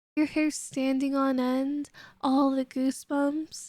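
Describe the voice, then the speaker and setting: A playful, high-pitched woman's voice at a very slow pace, with music in the background. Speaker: ASMR roleplay voice artist. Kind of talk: audio roleplay. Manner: teasing, playful.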